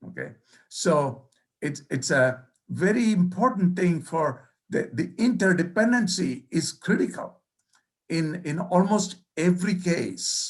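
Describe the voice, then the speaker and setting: Speaking at a very slow pace with a non-native accent, the man has a high pitch. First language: not English. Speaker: professor. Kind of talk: keynote lecture. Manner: halting.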